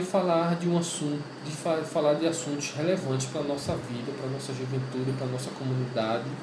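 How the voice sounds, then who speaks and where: In a room with audible echo and noticeable background noise, a man speaks at a fairly quick pace and fairly high pitch. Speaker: podcast host and pastor. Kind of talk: podcast introduction monologue. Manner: casual, halting with fillers.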